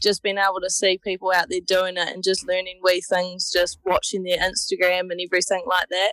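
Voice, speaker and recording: A woman with a New Zealand accent speaks at a fairly quick pace and medium pitch, with hardly any pauses. Her intonation is monotone and flat, and the sound is dry and close with no echo. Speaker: hunter. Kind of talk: interview.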